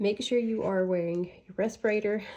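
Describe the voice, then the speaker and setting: The recording is very clean, with a silent background. A woman speaks at a medium pitch in a dark, mellow tone with ordinary pitch variation. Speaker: crafting tutorial creator. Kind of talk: tutorial. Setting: home craft room. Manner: casual, chatty.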